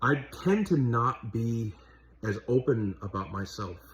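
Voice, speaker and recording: This man's pitch is medium and his pitch variation is ordinary. His voice is somewhat breathy. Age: 30s. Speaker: vlogger and fast food worker. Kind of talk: personal monologue. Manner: halting, stuttering.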